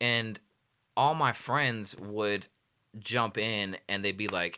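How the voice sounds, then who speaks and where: A man's fairly low, bright, sharp voice with a slight Southern US accent, ordinary pitch variation and a very slow pace, on a very clean recording with a silent background. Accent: slight Southern twang. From Los Angeles, California. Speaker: music producer and videographer. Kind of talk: casual interview chat. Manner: animated, full of fillers.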